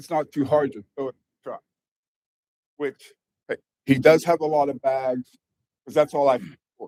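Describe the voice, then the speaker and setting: A man with a fairly high pitch and a dark, mellow tone speaks at a moderate pace, with long, frequent pauses. His loudness swings widely, and the sound is dry and close with no echo. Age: 60s. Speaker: property manager speaking at public comment. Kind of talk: public comment at city council. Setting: council chamber. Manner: halting.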